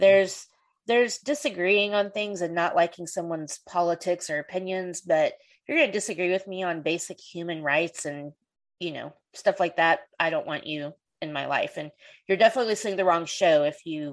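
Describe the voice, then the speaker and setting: A woman with a normal speaking voice, fairly low in pitch with ordinary pitch variation, at a moderate pace with big swings in loudness, against a quiet background. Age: 40s. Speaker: podcast host. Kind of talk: casual chat.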